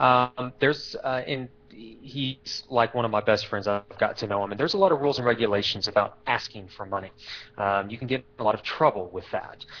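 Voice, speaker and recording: Someone with an American accent speaks at a fairly quick pace with ordinary pitch variation. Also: man, medium pitch for a man. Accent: slight Texas accent, disputed. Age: 30s. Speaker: real estate investor. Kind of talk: interview. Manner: hesitant, many fillers.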